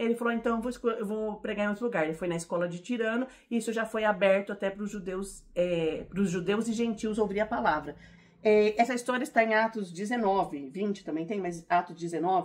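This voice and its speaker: A woman with a fairly high pitch talks very fast, her pitch varying in an ordinary way. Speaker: Bible teacher. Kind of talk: Bible teaching. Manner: animated.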